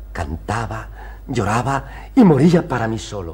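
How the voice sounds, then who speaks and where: Over light background noise, a man delivers his lines in a theatrical tone. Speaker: patient character; actor playing a character. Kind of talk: period TV stage play, dramatic; theatrical monologue in a TV play. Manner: emotional, earnest, theatrical, pleading. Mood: wistful, romantic recollection. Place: studio.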